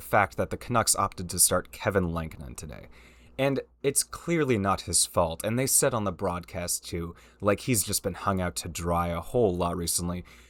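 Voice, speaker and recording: On a very clean recording with a silent background, a man speaks at a moderate pace. His pitch swings very widely, and the sound is dry and close with no echo. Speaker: hockey commentary youtuber. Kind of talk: casual rant. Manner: animated.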